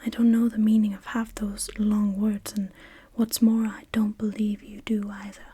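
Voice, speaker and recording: Soft-spoken and gentle, a woman talks at a fairly slow pace in a dark, mellow tone, her fairly high pitch staying monotone and flat. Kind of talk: soft-spoken ASMR bedtime story reading. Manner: soft-spoken, gentle, slow.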